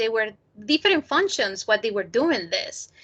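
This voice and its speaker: A woman with a Spanish accent talks at a moderate pace in a bright, sharp tone with lively intonation, the sound dry and close with no echo. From Colombia, Cali. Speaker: PhD candidate presenting research. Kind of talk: academic talk Q&A.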